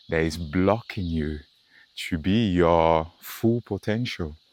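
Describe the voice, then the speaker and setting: Very slow speech comes from a man with ordinary pitch variation. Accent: non-native. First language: not English. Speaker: meditation content creator. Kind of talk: walking meditation talk. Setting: outdoors on a nature walk. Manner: halting.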